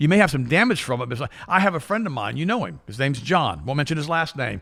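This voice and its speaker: A man talks at a very fast pace in a bright, sharp tone, his fairly high pitch swinging very widely and breaking into vocal fry. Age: 60s. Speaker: health talk show host. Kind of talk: casual chat. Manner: animated.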